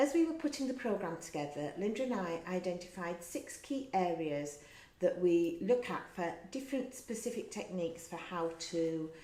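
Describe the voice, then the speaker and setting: In an English accent, a woman speaks at medium pitch and a moderate pace with lively intonation and audible room echo. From England. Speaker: wellness course teacher. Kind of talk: lecture.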